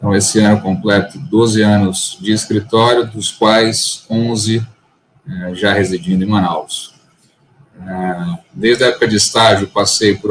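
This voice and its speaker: An ordinary speaking voice from a man at a fairly low pitch, fairly slow pace and fairly even intonation. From Bahia, Brazil (Salvador). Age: 30s. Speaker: lawyer, law firm partner. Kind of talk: casual interview chat.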